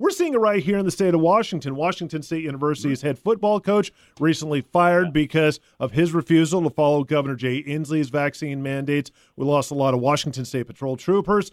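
A man speaks fairly quickly at a fairly high pitch, with ordinary pitch variation. His is an unremarkable speaking voice. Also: dry, close sound with no echo. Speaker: radio news host. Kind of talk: news reading and interview questions.

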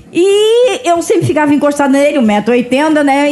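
Over noticeable background noise, a woman talks at a fairly slow pace with a high pitch. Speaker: guest with dwarfism. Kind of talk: casual chat.

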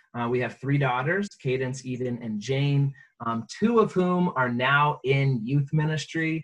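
At a fairly slow pace, a man speaks in a somewhat breathy, fairly high voice with ordinary pitch variation. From US, moved around; high school in Virginia. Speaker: pastor. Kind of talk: interview.

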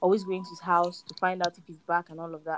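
A woman speaks with a Nigerian accent at a medium pitch. Her pace is fairly quick. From Lagos, Nigeria. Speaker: guest. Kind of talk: casual chat. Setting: remote call.

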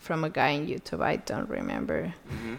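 A woman with a Spanish accent speaks with lively intonation on a very clean recording with a silent background. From Colombia. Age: 20s. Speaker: podcast guest. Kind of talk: casual chat.

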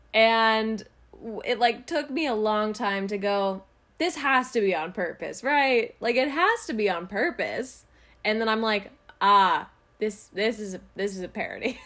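A woman talks in an animated tone at a fairly slow pace, her pitch fairly high with ordinary variation. Her voice has a bright, sharp tone. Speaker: podcast host. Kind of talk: casual banter podcast.

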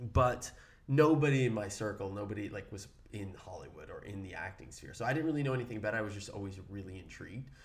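A man's fairly low, somewhat breathy voice with an American accent, a fairly quick pace, big swings in loudness and audible room echo. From Brooklyn, New York. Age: 30s. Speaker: actor, podcast co-host. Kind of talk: casual chat.

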